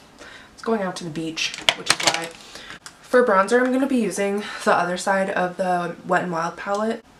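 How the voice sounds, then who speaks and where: Medium pitch from a woman, ordinary pitch variation, a moderate pace, and noticeable background noise behind her. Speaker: beauty YouTuber. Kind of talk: makeup tutorial chat. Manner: chatty, casual.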